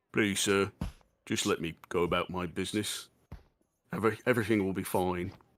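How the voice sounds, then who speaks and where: In a put-on character voice, a man speaks in a very deep, low, raspy tone at a moderate pace, with long, frequent pauses and fairly even intonation, on a very clean recording with a silent background. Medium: actual play.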